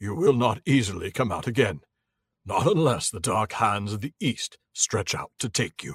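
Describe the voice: Lively intonation colors this plain reading aloud. The background is quiet.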